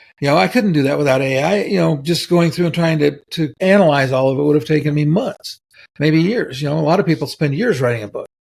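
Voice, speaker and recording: A man's fairly high, somewhat breathy voice carries lively intonation. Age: 70s. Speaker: tech veteran, author and trainer. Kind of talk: interview conversation. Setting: podcast interview. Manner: halting, with frequent repetitions and fillers.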